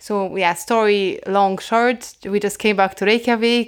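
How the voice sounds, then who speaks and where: A woman in a Polish accent at medium pitch and a fairly slow pace, with fairly even intonation, in a very clean recording with a silent background. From Poland. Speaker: food-sharing project co-founder. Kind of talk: interview.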